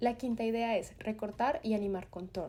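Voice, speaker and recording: The voice moves at a fairly slow pace with fairly even intonation. Music runs in the background. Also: woman. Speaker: video editing tutor. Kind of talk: software tutorial narration.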